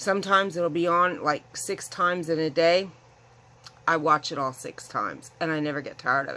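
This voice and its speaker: With an ordinary speaking voice, a woman talks at a moderate pace and a fairly low pitch. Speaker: craft vlogger. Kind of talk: casual vlog chat. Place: home room. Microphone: phone near.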